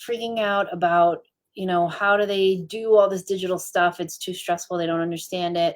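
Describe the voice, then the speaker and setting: Here is a woman with a plain, everyday voice. Her pitch is medium, with ordinary pitch variation. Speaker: branding and web designer. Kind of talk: live stream talk. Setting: Facebook live stream.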